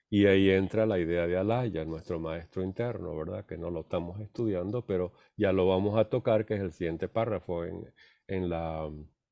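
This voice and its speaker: A man's very deep, low voice with a dark, mellow tone, fairly even intonation and moderate pace, in a very clean recording with a silent background and a dry, close sound with no echo. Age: 70s. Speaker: theosophy study group teacher. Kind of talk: lecture. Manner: halting.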